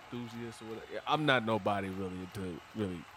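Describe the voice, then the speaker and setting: Fairly low in pitch, the man's voice shows ordinary pitch variation. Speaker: podcast co-host. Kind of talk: casual chat. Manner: loud.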